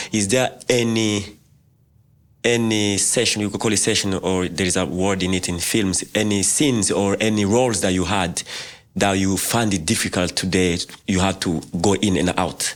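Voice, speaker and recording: An ordinary speaking voice talks at a moderate pace with fairly even intonation. The loudness stays very even. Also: man, fairly low pitch for a man. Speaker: podcast co-host. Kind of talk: podcast interview question.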